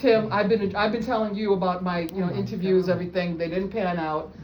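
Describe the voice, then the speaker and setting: Amid noticeable background noise and audible room echo, a woman with a fairly low pitch speaks with fairly even intonation. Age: 60s. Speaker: job seeker among friends. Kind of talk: casual group chat. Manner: halting.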